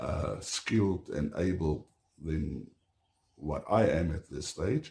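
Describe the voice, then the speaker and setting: A man with an Afrikaans South African accent speaks at a very deep, low pitch in a dark, mellow tone. He is somewhat breathy, with ordinary pitch variation and a very slow pace. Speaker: homesteader. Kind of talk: casual vlog talk to camera. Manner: halting, many fillers.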